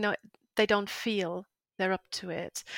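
The sound is dry and close with no echo, on a very clean recording with a silent background. A woman speaks with fairly even intonation. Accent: German. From northern Germany. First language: German. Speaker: freelance translator and coach. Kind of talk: interview, casual chat.

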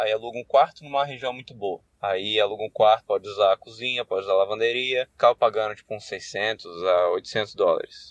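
Speaking fairly quickly with a Brazilian accent, a man barely pauses at all. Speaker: college student abroad. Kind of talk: recorded answer message.

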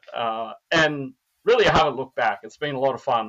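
With an Australian accent, a man talks at a fairly quick pace in a fairly high pitch. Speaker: neurobiologist. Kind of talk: casual interview.

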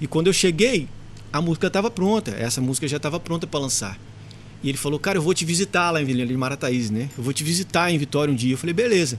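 A man with a fairly high pitch, lively intonation and a very fast pace. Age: 40s. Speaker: musician and studio owner. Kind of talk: casual chat.

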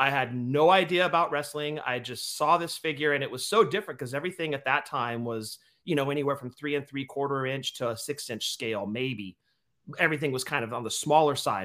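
A man with an American accent talks at a fairly quick pace in a bright, sharp tone, fairly high in pitch with ordinary variation, on a very clean recording with a silent background. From US West Coast, San Leandro, California. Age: 40s. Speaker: wrestling figure podcast host. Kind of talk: casual chat.

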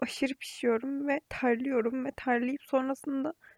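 Her pitch high, a woman speaks at a moderate speed. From Aegean region of Turkey. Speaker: podcaster. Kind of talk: casual monologue. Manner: chatty, frequent laughter.

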